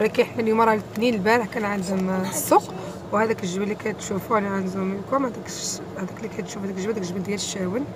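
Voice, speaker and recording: A woman talks very fast with hardly any pauses, her medium pitch and fairly even intonation heard through audible room echo and noticeable background noise. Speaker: lifestyle vlogger. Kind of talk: travel vlog narration.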